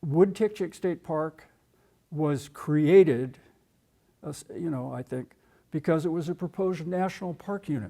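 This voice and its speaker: A man's dark, mellow tone, fairly high in pitch, with ordinary pitch variation, a moderate pace and long, frequent pauses, on a very clean recording with a silent background. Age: 80s. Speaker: retired state parks official. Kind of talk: public talk. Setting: room with live audience. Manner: halting.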